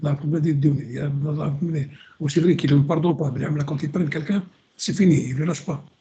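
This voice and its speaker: A man's somewhat breathy voice, fairly high-pitched, with a dark, mellow tone and fairly even intonation. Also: fairly quick pace. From Algeria. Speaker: radio co-host, historian. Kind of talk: radio discussion. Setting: live radio broadcast. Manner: halting, many repetitions.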